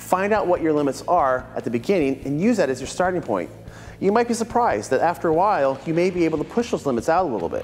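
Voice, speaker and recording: Over faint music in the background, a man talks at a very fast pace. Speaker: martial arts instructor. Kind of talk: scripted presenter talk to camera. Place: gym.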